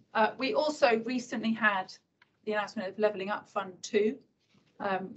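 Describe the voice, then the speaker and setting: A woman's somewhat breathy voice at a moderate pace, with fairly even intonation. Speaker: government transport official. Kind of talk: conference talk. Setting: event room with audience, holding a microphone. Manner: quietly spoken.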